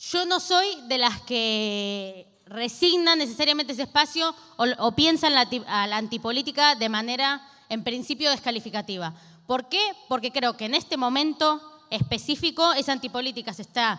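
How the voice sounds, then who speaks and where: Against a quiet background, a woman speaks at a high pitch with a bright, sharp tone and lively intonation. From Argentina. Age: 20s. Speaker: activist and legislator; guest. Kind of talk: talk at a panel discussion. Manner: fast; speeds up when agitated. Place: hall. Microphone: handheld.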